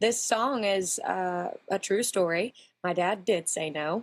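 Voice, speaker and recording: A Texan accent on a very clean recording with a silent background. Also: woman. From Texas. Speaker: country singer. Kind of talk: interview.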